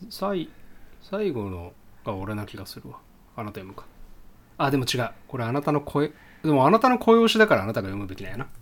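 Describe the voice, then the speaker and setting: A man's medium-pitched voice at a fairly quick pace, with very wide pitch swings, big shifts in loudness and long, frequent pauses. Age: 30s. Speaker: podcast co-host. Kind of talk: casual chat. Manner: laughs often.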